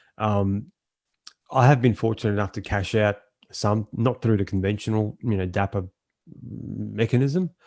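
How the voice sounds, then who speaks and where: A man's fairly low voice in an Australian accent, with fairly even intonation, a moderate pace and long, frequent pauses, on a very clean recording with a silent background. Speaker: NFT collector. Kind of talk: podcast interview.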